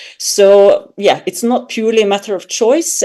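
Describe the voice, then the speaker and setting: A woman's dark, mellow voice with a Serbian accent and ordinary pitch variation. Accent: foreign accent (Serbian). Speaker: academic author. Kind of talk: academic panel discussion. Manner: hesitant, with fillers.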